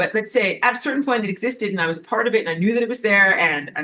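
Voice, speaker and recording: With a New York accent, a woman speaks at medium pitch and with lively intonation. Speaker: spiritual teacher. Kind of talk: lecture. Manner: casual, conversational with filler words.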